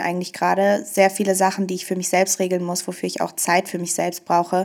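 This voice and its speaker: Speaking at a fairly quick pace, a woman uses an unremarkable speaking voice with medium pitch and fairly even intonation. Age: 20s. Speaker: single sharing her dating story. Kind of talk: casual interview.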